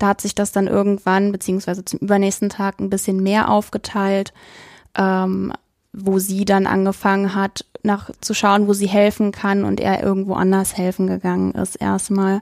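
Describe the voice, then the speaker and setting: Recorded very cleanly against a silent background, a woman speaks at medium pitch and moderate pace in a flat monotone, the sound dry and close with no echo. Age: 20s. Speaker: university student, trainee primary school teacher. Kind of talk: interview conversation.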